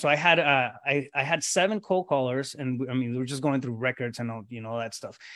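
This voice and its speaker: A man's fairly high, bright and sharp voice with a Spanish accent and ordinary pitch variation, in a very clean recording with a silent background. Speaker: real estate coach. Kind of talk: casual interview. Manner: informal, filler-heavy with repetitions.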